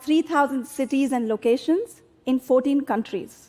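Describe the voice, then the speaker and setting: With an Indian accent, a woman speaks in a high voice. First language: Hindi. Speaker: tech company executive. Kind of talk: public talk.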